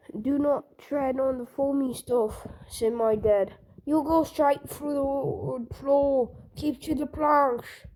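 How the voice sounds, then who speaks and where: At a fairly slow pace, a woman talks in a put-on character voice with a high pitch. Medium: read story.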